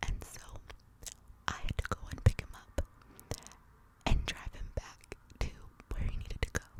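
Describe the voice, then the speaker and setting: A woman whispers while noticeable background noise fills the recording. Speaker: ASMR content creator. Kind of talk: ASMR whispered storytelling. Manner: whispered, soft.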